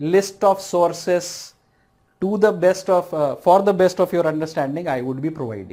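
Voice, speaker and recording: The speaker talks at a fairly slow pace with an Indian accent. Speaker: civil services exam lecturer. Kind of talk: online lecture.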